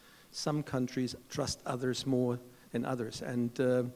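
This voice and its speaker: A man with a German accent, dark and mellow in tone, at medium pitch and a moderate pace. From Germany. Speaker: chief executive of standards foundation. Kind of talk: panel discussion.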